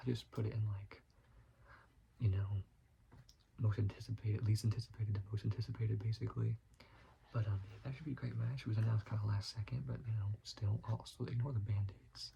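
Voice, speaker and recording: Soft-spoken, very fast delivery with long, frequent pauses. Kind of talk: ASMR soft-spoken ramble.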